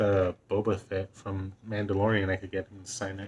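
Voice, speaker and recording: A man's somewhat breathy voice, fairly low in pitch, moves at a moderate pace with big swings in loudness. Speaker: vlogger. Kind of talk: casual monologue. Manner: halting.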